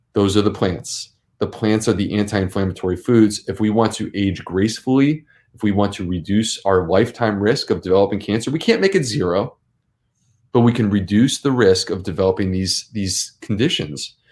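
A man's fairly low voice, an unremarkable speaking voice, with ordinary pitch variation at a fairly quick pace, in a very clean recording with a silent background. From US Northeast (Syracuse, New York). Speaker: gastroenterologist. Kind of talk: interview. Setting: live-streamed show.

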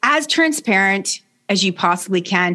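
A woman talks at a fairly slow pace with a Canadian accent. Her pitch swings very widely. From Canada. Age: 60s. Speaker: leadership coach. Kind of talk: interview.

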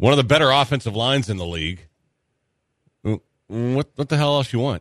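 A man with an American accent speaks at a fairly quick pace with lively intonation. The sound is dry and close with no echo, over a quiet background. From Texas. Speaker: sports radio host. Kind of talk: casual chat.

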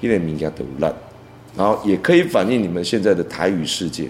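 The speaker has a Taiwanese accent. The intonation is lively. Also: man. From Taiwan, Tainan. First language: Taiwanese Hokkien (speaking Chinese). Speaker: veteran songwriter and music producer. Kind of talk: interview. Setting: studio.

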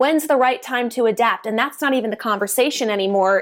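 A high-pitched woman with an animated tone and ordinary pitch variation. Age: 20s. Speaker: voiceover artist and cosplayer. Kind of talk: casual chat.

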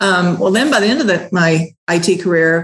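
A woman's fairly low voice in an American accent at a moderate pace. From US South, southwest Missouri (Ozarks). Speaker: laundromat owner. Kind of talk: interview.

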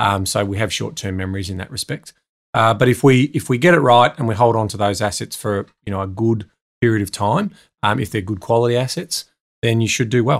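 Speaking with an Australian accent, a man moves along at a fairly quick pace. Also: medium pitch for a man, ordinary pitch variation, very clean recording, silent background. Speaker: property investment adviser. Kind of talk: casual interview. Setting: studio.

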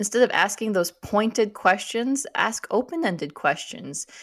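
A woman with an American accent has an ordinary speaking voice, fairly high in pitch with lively intonation. She talks at a moderate pace in a very clean recording with a silent background. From US Midwest, Minnesota. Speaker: author and church scholar. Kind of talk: radio interview.

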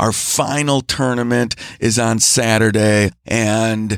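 Recorded very cleanly against a silent background, a man talks at a very slow pace in a dry, close sound with no echo. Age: 40s. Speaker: financial planner and podcast host. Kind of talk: solo podcast monologue. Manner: loud.

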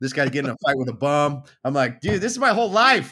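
A man speaks with an American accent, his pitch swinging very widely. The recording is very clean, with a silent background. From Southern California. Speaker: firefighter and fatherhood coach. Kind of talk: podcast interview. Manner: animated.

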